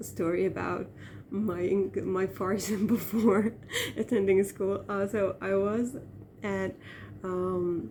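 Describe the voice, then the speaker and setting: Speaking at a very slow pace with long, frequent pauses, a woman with an Iranian accent keeps a medium pitch and a monotone, flat intonation. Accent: Iranian Turkmen accent in English. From Turkmen-speaking region of Iran. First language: Turkmen. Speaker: vlogger. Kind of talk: casual monologue. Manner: hesitant, many fillers.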